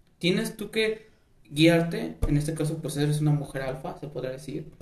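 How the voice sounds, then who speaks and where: Audible room echo follows a man whose voice sits fairly high in pitch. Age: 20s. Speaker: podcast host. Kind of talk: casual chat.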